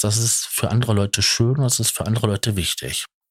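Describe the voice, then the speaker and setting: A somewhat breathy male voice with a dry, close sound and no echo. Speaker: podcaster. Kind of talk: personal monologue. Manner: halting. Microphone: good microphone.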